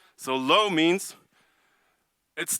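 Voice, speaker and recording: A man's bright, sharp tone with ordinary pitch variation, in a dry, close sound with no echo on a very clean recording with a silent background. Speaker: conference speaker. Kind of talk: technical conference talk. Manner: fast.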